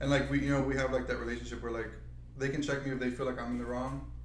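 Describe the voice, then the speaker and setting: A man is speaking over noticeable background noise. Audible room echo surrounds the voice. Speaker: podcast co-host. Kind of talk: casual chat.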